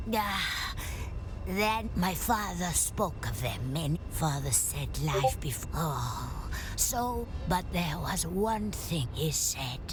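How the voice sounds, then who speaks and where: Loud background noise sits behind a put-on character voice. The delivery is very slow. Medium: short film.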